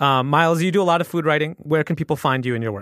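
On a very clean recording with a silent background and a dry, close sound with no echo, a man with an American accent speaks with ordinary pitch variation. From US Midwest. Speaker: podcast host. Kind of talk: casual chat.

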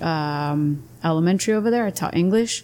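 A woman's normal speaking voice with an American accent, fairly low in pitch, with ordinary pitch variation at a moderate pace, on a very clean recording with a silent background. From Imperial Valley, Southern California (US-Mexico border). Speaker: high school athletic director and PE teacher. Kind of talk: casual interview. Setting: brewery.

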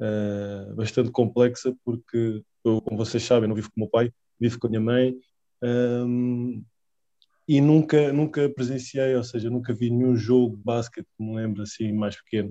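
With a dark, mellow tone, a man speaks at a fairly slow pace and fairly even intonation. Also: medium pitch for a man. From Portugal, Lisbon. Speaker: professional basketball player. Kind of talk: casual interview.

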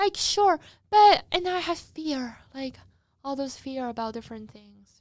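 A woman's high voice at a fairly slow pace, with very wide pitch swings and big swings in loudness. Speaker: student podcast host. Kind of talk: casual solo chat. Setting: recording studio. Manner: animated. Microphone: studio microphone, crisp sound.

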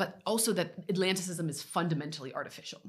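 A woman's voice with an American accent and ordinary pitch variation. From US Midwest. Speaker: academic researcher. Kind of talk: interview. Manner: frequent hesitations and fillers.

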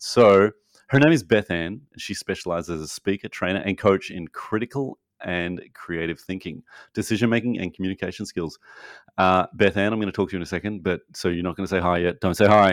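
On a very clean recording with a silent background and a dry, close sound with no echo, a man with an Australian accent speaks at a fairly quick pace in a very deep, low pitch with ordinary pitch variation. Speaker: podcast host. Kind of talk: casual chat. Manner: animated.

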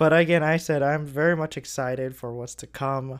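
At a moderate pace, a man is talking. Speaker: podcast host and student entrepreneur. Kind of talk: casual solo podcast monologue. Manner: somewhat monotone.

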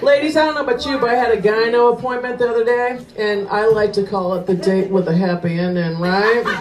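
Hardly pausing, a woman talks at a fairly quick pace in a fairly high voice with ordinary pitch variation. Noticeable background noise is present. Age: 50s. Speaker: stand-up comedian. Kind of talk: stand-up. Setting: stage with audience. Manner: brash, animated.

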